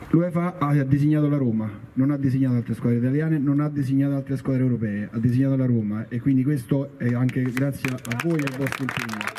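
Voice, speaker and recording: A man speaks at a medium pitch with fairly even intonation and a fairly quick pace. Light background noise sits behind him. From Rome; Italy. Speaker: football club representative. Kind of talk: speech to audience. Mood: warm, praising. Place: stadium. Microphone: handheld.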